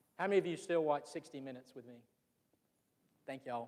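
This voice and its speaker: With a Southern accent, a man speaks at a very fast pace in a fairly high pitch. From US South, Georgia (Fitzgerald). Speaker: business association leader, speaker. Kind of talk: public presentation. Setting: room with live audience. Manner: animated.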